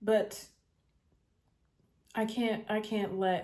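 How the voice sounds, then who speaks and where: A woman's dark, mellow tone with fairly even intonation. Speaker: podcast host. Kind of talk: personal reflective monologue. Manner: halting, many fillers.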